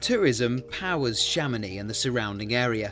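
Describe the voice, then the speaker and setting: Music can be heard behind the speaker. He is a man whose pitch varies in an ordinary way. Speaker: news reporter / narrator. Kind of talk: news report voiceover.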